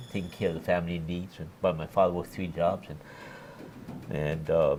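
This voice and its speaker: With a Hawaiian accent, a man speaks fairly quickly in a very deep, low voice and flat, monotone intonation. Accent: Hawaii English. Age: 60s. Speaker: former politician. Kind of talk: interview.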